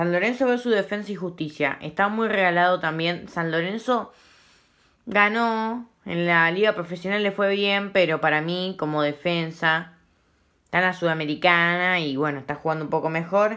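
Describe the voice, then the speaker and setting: On a very clean recording with a silent background, a woman with a bright, sharp tone speaks at a moderate pace in a fairly low pitch with ordinary pitch variation. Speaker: football YouTuber. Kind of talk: casual commentary vlog. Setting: at home at night. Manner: speaking quietly; informal, self-correcting.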